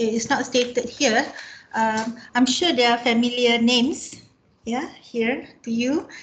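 A woman with a high voice speaks at a very slow pace, her intonation fairly even, over light background noise. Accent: Malaysian. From Malaysia. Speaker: researcher; presenter. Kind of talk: presentation. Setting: video call. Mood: friendly, smiling. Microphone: headset.

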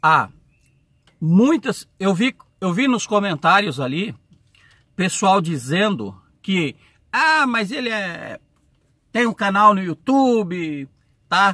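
A man speaks in a raised, projected voice, high for a man, with a bright, sharp tone, very wide pitch swings, a very slow pace and long, frequent pauses, all in a dry sound with no echo. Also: quiet background. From Brazil. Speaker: truck driver YouTuber. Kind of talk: casual vlog Q&A. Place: car. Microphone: phone near.

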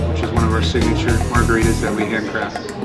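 Loud music plays in the background. Over it, a man talks at a very fast pace. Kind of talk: tutorial. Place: bar. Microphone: camera far.

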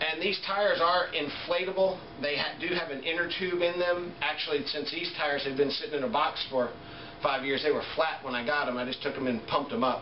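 The pace is fairly quick. Audible room echo and light background noise surround the voice. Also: man, ordinary pitch variation. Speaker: product reviewer. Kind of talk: casual product review and tutorial. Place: home room. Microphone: camera far.

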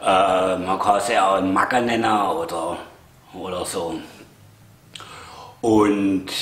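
At a very slow pace with long, frequent pauses, a man speaks in a fairly low, monotone, flat voice. Audible room echo surrounds him. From Swabia, Germany. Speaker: vlogger. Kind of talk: casual talk to camera. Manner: hesitant, chatty. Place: home room. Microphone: camera far.

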